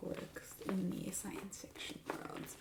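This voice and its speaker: A soft-spoken woman talks at a moderate pace. Background noise is noticeable. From Italian-American, Philadelphia. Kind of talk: ASMR roleplay as a used bookstore clerk.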